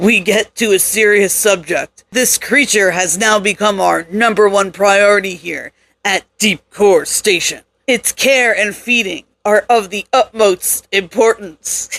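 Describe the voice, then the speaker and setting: In a put-on character voice, the speaker goes at a fairly slow pace with fairly even intonation, and the sound is dry and close with no echo. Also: woman, medium pitch for a woman. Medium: read story. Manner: calm, polished, coolly menacing.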